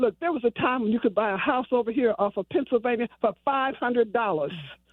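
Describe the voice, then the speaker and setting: Very fast speech comes from a woman with an American accent and a high pitch. Her pitch varies in an ordinary way. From Detroit east side. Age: 70s. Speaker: caller. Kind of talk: call-in radio comment. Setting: phone call.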